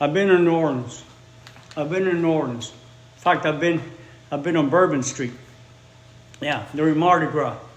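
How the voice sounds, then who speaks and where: Audible room echo and noticeable background noise accompany a man with a fairly high pitch and fairly even intonation, who talks at a moderate pace with long, frequent pauses. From Chicago, US Midwest. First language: Spanish. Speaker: English teacher. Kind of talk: live-stream language lesson.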